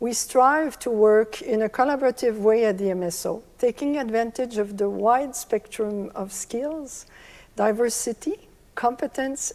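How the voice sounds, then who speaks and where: The speaker has a French Canadian accent. The pitch varies in an ordinary way. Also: woman. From Quebec, Canada (Montreal). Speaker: orchestra managing director. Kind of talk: prepared speech.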